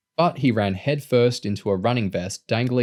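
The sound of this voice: The clip carries an unforced reading voice.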